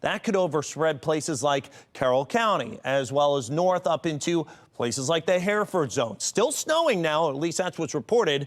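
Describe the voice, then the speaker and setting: A man with a plain, everyday voice, fairly high in pitch, talks at a moderate pace with lively intonation and very even loudness. The recording is very clean with a silent background. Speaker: TV meteorologist. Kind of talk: TV weather forecast.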